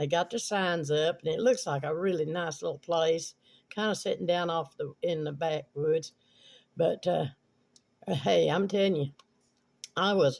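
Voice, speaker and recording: Speaking at a moderate pace with fairly even intonation, a man with an Appalachian accent has a high pitch. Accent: Southern Appalachian American. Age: 70s. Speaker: video blogger. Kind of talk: casual storytelling. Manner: rambling, halting with fillers.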